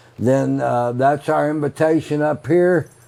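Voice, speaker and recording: A man with an American accent, fairly high pitch, fairly even intonation and a fairly slow pace, with noticeable background noise. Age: 80s+. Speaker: roadside attraction owner. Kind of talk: casual chat. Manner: halting, many fillers.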